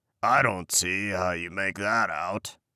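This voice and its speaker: A man growls in a put-on character voice that is raspy and very deep, low in pitch. He talks at a fairly slow pace on a very clean recording with a silent background. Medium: read story. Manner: slow, growling.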